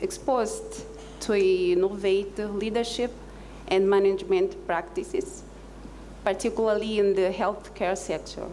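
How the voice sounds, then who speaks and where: A woman speaks at a fairly slow pace with a Portuguese accent. Noticeable background noise and audible room echo surround her voice. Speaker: exchange alumna in healthcare. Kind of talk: panel discussion.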